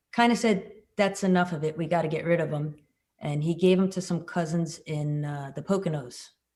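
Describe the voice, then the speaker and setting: A somewhat breathy voice with an American accent and a dark, mellow tone. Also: woman, fairly low pitch for a woman, ordinary pitch variation, fairly quick pace. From US Northeast, Long Island, New York. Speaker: motorcyclist and commercial pilot. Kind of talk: casual interview chat.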